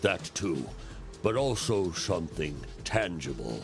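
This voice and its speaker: Over clear music in the background, a man puts on a character voice with a very deep, low pitch at a fairly slow pace. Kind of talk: second-person game narration. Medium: video game.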